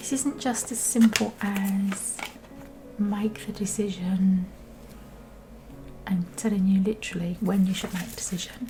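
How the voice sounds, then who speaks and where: Over music in the background, the speech moves at a moderate pace with long, frequent pauses. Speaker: tarot card reader. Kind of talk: tarot reading video. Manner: casual, conversational.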